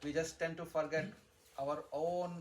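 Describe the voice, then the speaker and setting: A man speaks with a Telugu accent. His intonation is fairly even. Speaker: spiritual teacher. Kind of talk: religious discourse. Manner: repetitive, halting restarts.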